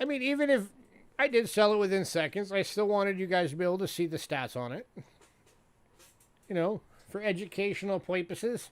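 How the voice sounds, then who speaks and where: A man with a high pitch, lively intonation, a fairly quick pace and long, frequent pauses. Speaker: coin dealer running live auction stream. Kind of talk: live auction stream. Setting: live stream.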